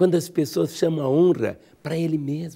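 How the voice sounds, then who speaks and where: This man's tone is dark and mellow. He talks at a fairly slow pace. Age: 60s. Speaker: pastor. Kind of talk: sermon. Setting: radio program.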